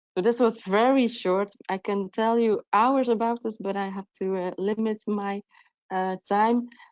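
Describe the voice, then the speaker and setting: In a non-native accent, a woman of medium pitch speaks at a fairly slow pace with fairly even intonation. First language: not English. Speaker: procurement officer. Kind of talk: webinar presentation. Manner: halting, many fillers.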